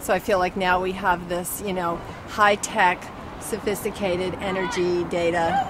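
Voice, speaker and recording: With crowd noise in the background and audible room echo, a woman speaks with an American accent. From San Francisco, California. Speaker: protester. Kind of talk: street interview. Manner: halting, many fillers.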